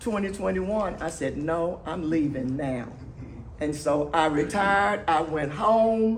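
A woman speaks at a very slow pace with lively intonation, her pitch very deep and low. Light background noise sits behind her. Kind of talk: speech to an audience. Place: hall. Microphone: camera far.

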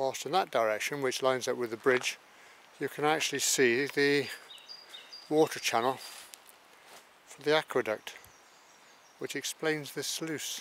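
A man at a moderate pace, fairly even intonation, long and frequent pauses, light background noise, and a dry sound with no echo. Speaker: walking guide. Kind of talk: commentary. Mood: calm, curious. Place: forest.

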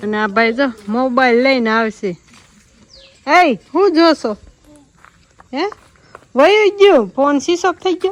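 With very wide swings in her pitch, a woman talks in a high voice. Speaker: vlogger. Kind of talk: casual vlog narration.

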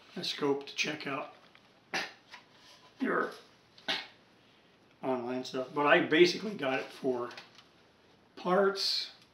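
A man's voice with ordinary pitch variation, audible room echo and light background noise. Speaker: hobbyist radio collector. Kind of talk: casual vlog chat. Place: workshop.

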